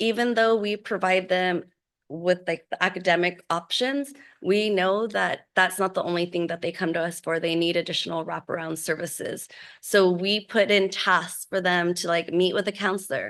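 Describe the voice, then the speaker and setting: An ordinary speaking voice at a moderate pace, with fairly even intonation and a quiet background. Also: woman. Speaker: college program presenter. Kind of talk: board meeting presentation. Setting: school board meeting.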